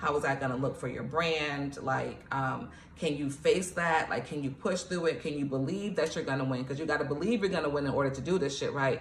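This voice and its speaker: A woman with an American accent speaks in a very deep, low voice, fairly quick and animated, with hardly any pauses. The audio carries noticeable background noise and audible room echo. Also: ordinary pitch variation. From New York, Nigerian family. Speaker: poet and author, motivational coach. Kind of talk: motivational tutorial. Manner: fast; casual, animated.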